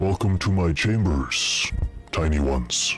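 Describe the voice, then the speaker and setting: Over clear music in the background, a man puts on a booming character voice at a fairly slow pace. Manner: imposing, addressing small folk.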